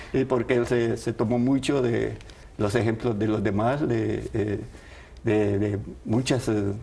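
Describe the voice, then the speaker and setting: A man speaks with a dark, mellow tone and vocal fry. His intonation is fairly even. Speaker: grandfather of a singer, interviewee. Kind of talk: interview answer. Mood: warm, smiling. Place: studio. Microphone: lapel.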